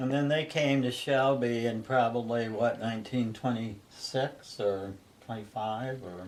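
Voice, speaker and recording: The speech comes at a fairly slow pace with fairly even intonation. Audible room echo and noticeable background noise are present. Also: man, medium pitch for a man. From Ohio. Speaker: interviewee recalling family history. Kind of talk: casual family interview.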